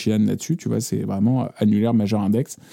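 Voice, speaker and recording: Fairly low in pitch, a man talks in a dark, mellow tone. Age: 30s. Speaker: bassist. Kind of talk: casual chat.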